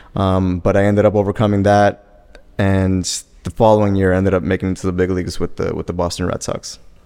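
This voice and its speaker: A man's very deep, low voice with an American accent, monotone and flat, at a very fast pace. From Miami, Florida. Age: 30s. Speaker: former professional baseball player and scout. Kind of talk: interview.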